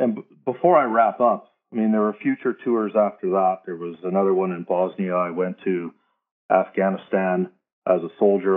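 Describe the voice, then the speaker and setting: A man's voice sits very deep and low, with intonation that stays fairly even. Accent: Canadian. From Canada. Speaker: military veteran and advocate. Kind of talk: interview.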